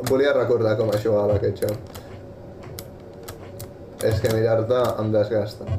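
The speech comes at a very slow pace, with long, frequent pauses. Music plays in the background. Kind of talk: casual chat while gaming. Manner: animated, laughing.

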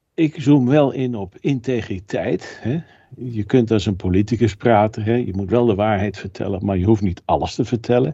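At a moderate pace, a man with a dark, mellow tone talks at medium pitch with ordinary pitch variation. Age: 60s. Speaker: food technologist and author. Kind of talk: interview.

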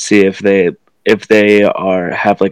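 Man with a fairly low pitch and fairly even intonation, recorded as a dry, close sound with no echo. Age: young. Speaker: student and aspiring speaker. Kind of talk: casual faith podcast chat.

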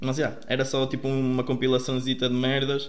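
Audible room echo surrounds a man of medium pitch talking at a moderate pace. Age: 20s. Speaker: music producer. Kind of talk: casual chat.

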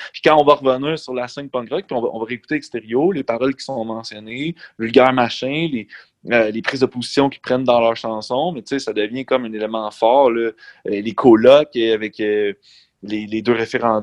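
A man's unremarkable speaking voice, medium in pitch, at a moderate pace with ordinary pitch variation and big swings in loudness, in a dry, close sound with no echo. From Quebec, Centre-du-Québec/Mauricie. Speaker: high school teacher and lyricist. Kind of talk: casual chat.

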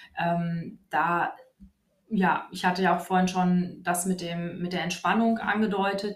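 A woman at medium pitch, fairly slow and monotone, with flat intonation and audible room echo. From Hesse, Germany (Wiesbaden). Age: 30s. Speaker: physiotherapist. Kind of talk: interview. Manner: hesitant, many fillers.

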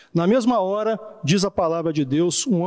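This man has a high pitch with ordinary pitch variation and speaks at a moderate pace. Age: 40s. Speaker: pastor. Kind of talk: sermon.

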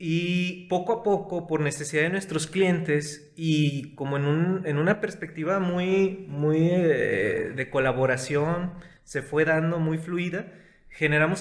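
A man with a high pitch speaks at a very slow pace, his intonation fairly even. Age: 20s. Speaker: consultant and entrepreneur. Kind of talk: casual chat.

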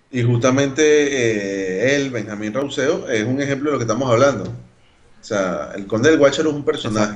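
A man at medium pitch, moderate pace and ordinary pitch variation, with audible room echo. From Venezuela, Caracas (Caricuao). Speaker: podcast co-host. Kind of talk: casual chat.

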